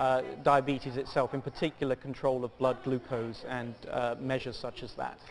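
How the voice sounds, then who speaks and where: A man with a British accent speaks in a medium pitch with monotone, flat intonation at a moderate pace, hardly pausing, amid noticeable background noise. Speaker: pharmaceutical company executive. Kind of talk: TV business interview. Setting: stock exchange market site.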